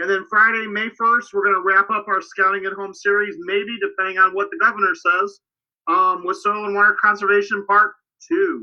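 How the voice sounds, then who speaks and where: The voice is loud and moves at a moderate pace. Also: man, high pitch for a man. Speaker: scouting program staff. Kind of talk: livestream program update. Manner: animated.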